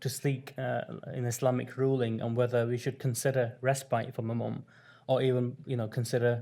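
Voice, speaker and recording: Soft-spoken, a man talks at a medium pitch with a dark, mellow tone and monotone, flat intonation. The recording is very clean, with a silent background. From northern England, Rochdale near Manchester. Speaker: community health founder and former carer. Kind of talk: conference workshop presentation. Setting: conference room with audience. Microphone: too quiet at first, mic adjusted.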